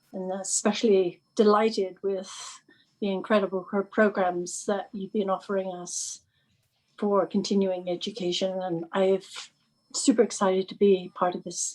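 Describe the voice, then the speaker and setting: Her pitch sits at a medium level for a woman. The intonation is monotone and flat. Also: moderate pace. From England. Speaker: teacher and gardening volunteer trainee. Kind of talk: casual introduction in a group video call.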